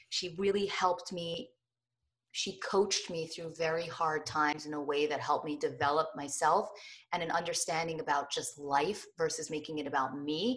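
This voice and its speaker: A woman speaks at a moderate pace in a plain, everyday voice with an American accent. Her pitch is fairly low, with ordinary variation. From New Jersey. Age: 30s. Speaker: lifestyle blogger. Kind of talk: interview.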